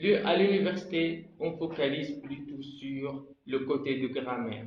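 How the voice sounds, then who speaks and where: A somewhat breathy man with an Arabic accent, fairly high pitch and ordinary pitch variation, in audible room echo. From Egypt. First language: Arabic (speaking French). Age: 20s. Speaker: language learner vlogger. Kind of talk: personal vlog talk.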